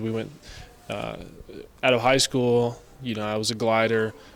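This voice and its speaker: A man at medium pitch with a West Texas accent, monotone and flat in intonation, at a moderate pace. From West Texas, Amarillo. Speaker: college athlete. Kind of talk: sports interview.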